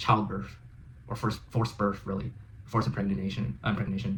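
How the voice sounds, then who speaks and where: In an American accent, a man with a fairly low pitch and vocal fry speaks at a moderate pace with lively intonation. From United States. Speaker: reaction video host. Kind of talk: reaction commentary. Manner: halting.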